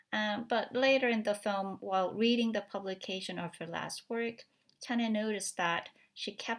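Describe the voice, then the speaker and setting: On a very clean recording with a silent background, a woman speaks at a fairly slow pace. Her intonation stays fairly even. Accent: Korean. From South Korea. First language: Korean. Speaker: film studies academic. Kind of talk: recorded talk. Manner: halting, many fillers.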